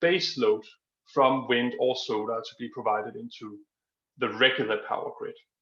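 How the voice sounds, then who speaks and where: A man speaks with a Danish accent. His pace is moderate. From Denmark. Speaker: energy industry expert. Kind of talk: Q&A answer at online conference. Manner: hesitant, many fillers.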